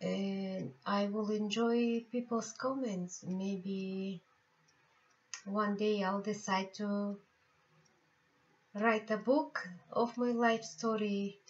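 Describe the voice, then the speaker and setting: Speaking very slowly with long, frequent pauses, a woman with a Bulgarian accent uses a somewhat breathy voice, medium pitch and fairly even intonation. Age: 50s. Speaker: tarot reader and healer. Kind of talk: personal life story vlog. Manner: halting.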